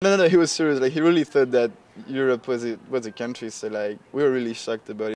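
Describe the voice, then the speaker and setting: In a French accent, a man speaks at a very fast pace with a medium pitch and ordinary pitch variation. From France. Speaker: international student. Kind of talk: interview.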